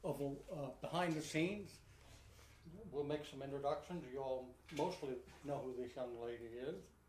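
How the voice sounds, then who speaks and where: A man speaks in a somewhat breathy voice. There is audible room echo. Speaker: pigeon supply company host. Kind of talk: live online show, casual. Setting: live video broadcast. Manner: fast.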